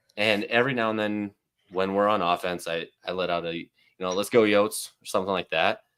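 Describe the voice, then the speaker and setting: The recording is very clean, with a silent background. A man with a fairly low pitch talks fairly quickly, his intonation fairly even. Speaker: sports podcast co-host. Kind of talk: casual chat.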